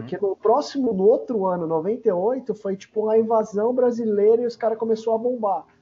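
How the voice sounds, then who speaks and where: A man's high-pitched voice with big swings in loudness and hardly any pauses. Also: fairly even intonation, moderate pace. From São Paulo, Zona Leste. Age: 30s. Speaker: skateboarder and video magazine creator. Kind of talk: casual interview.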